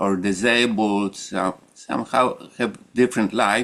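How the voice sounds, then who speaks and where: A man speaks very slowly with a Polish accent, his pitch fairly low and his intonation fairly even. Noticeable background noise runs behind him. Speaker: meditation group leader. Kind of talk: group discussion. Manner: halting.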